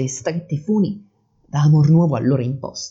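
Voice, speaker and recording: Somewhat breathy and nervous in tone, a man speaks with a dark, mellow sound. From Salerno, southern Italy. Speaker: amateur poet and podcaster. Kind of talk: poetry reading, read aloud in archaic verse. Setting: home recording, poor audio, background noise. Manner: emotional, slightly nervous.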